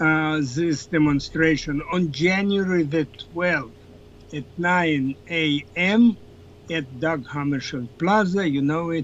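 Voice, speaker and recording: With a non-native accent, a man talks at a very slow pace with ordinary pitch variation. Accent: foreign. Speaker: political scientist. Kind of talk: interview.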